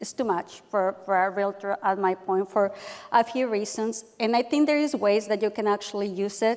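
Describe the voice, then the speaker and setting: The woman's voice sits at a medium pitch with fairly level intonation. She talks at a moderate speed. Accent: non-native. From Mexico. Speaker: realtor panelist. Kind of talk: panel discussion.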